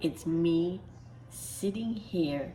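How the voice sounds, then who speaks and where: Soft-spoken, a woman talks at a fairly low pitch with ordinary pitch variation. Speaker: Disney vlogger. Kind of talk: casual vlog talk to camera. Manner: hesitant, many fillers.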